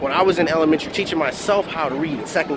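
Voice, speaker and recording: Someone with an American accent speaks at a very fast pace with ordinary pitch variation. Noticeable background noise runs underneath. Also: man. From Philadelphia, US. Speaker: motivational speaker. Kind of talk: motivational vlog monologue. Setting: outdoors near a parking lot in Miami.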